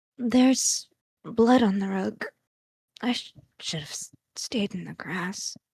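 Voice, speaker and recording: The speaker mumbles in a put-on character voice at a fairly high pitch. Delivery is fairly slow, broken by long, frequent pauses. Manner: faltering, stammering.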